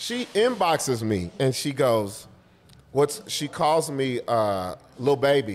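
Speaking very slowly in an American accent, a man uses a fairly high pitch with very wide pitch swings. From Los Angeles. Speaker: comedian. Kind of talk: casual chat. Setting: coffee shop. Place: home room. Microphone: studio mic.

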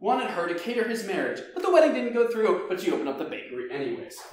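Strong room echo surrounds a man speaking at a high pitch with big pitch swings.

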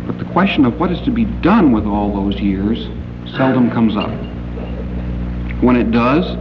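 A man at a moderate pace, with long, frequent pauses and noticeable background noise. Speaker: science fiction author and critic, convention guest of honor. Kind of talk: formal convention speech, literary criticism lecture. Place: hall. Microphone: old recording.

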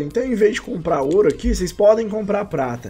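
A man with a Brazilian accent, high-pitched, fairly quick, with very wide pitch swings. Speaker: gaming YouTuber. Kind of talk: casual video commentary on game trading. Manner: informal, slangy.

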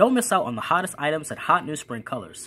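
This man speaks with very wide swings in pitch. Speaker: student news host. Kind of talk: news anchor presentation. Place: home room. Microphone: webcam.

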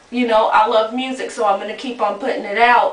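Ordinary pitch variation with audible room echo. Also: woman. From North Carolina, Greensboro; North Carolina. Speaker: rapper and model; interviewee. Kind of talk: casual interview. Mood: relaxed, casual. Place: bathroom. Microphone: camera far.

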